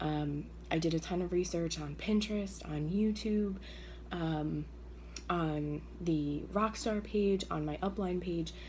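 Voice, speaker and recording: Very slow speech from a woman amid audible room echo. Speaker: direct sales consultant. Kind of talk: tutorial. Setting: at home early morning. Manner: hesitant, many fillers.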